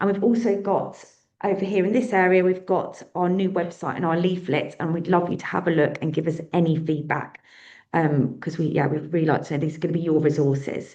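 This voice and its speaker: In a room with audible echo, a woman with a British accent speaks at a fairly quick pace and a fairly low pitch, her dark, mellow tone showing ordinary pitch variation. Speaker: charity event organiser. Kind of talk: event announcements. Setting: conference room with audience. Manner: fast.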